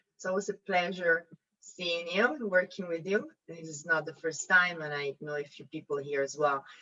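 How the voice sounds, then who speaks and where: A woman with an Italian accent at a fairly low pitch and a moderate pace, with ordinary pitch variation and big swings in loudness. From Italy. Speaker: investment advisor. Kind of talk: panel self-introduction. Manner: hesitant, many fillers.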